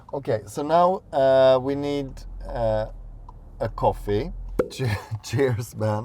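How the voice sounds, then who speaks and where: Very slow speech from a man, broken by long, frequent pauses. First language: Swedish. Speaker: podcast host. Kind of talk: casual chat. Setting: in a car. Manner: halting.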